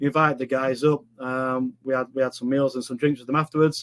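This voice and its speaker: A man speaks at a very fast pace with a Yorkshire accent and a fairly high pitch. The sound is dry and close, with no echo. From northern England, Sheffield, Yorkshire. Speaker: online business coach. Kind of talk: live webinar presentation. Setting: live online stream. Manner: casual, filler-heavy.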